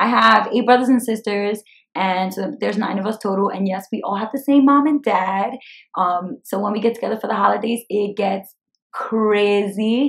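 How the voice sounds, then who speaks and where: In an American accent, a woman talks with a fairly high, somewhat breathy voice and ordinary pitch variation. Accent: Brooklyn Dominican. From Brooklyn, New York. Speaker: personal finance YouTuber. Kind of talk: casual vlog Q&A. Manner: energetic; fast.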